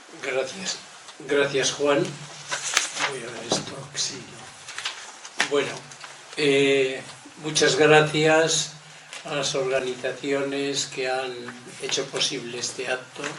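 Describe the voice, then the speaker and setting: Over noticeable background noise and audible room echo, a man talks at a very slow pace with a fairly high pitch, monotone, flat intonation, big swings in loudness, and long, frequent pauses. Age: 80s+. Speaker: lecturer on loneliness and ageing. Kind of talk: lecture.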